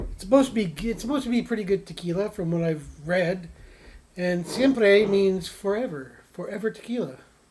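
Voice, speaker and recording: A man's high-pitched voice goes at a fairly quick pace amid noticeable background noise. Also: ordinary pitch variation. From Canada. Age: 60s. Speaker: beer-tasting show host. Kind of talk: casual chat.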